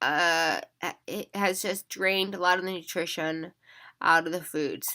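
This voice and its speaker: A woman speaks in a monotone, flat intonation with a bright, sharp tone. The sound is dry and close with no echo, on a very clean recording with a silent background. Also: medium pitch for a woman, fairly slow pace. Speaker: former neuroscience lab researcher. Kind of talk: casual talk to camera.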